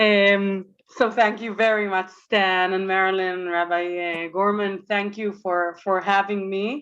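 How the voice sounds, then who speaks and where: At a fairly slow pace, a woman with an Israeli accent speaks in a medium pitch with monotone, flat intonation. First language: Hebrew. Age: young. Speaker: communications director and religious movement representative. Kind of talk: presentation. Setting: synagogue event with audience, microphone. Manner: halting, many fillers.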